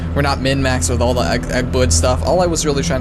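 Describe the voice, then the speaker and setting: Over music in the background, a man talks at a very fast pace with audible room echo. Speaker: gaming YouTuber. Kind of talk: gameplay commentary. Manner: casual, stumbling with self-corrections.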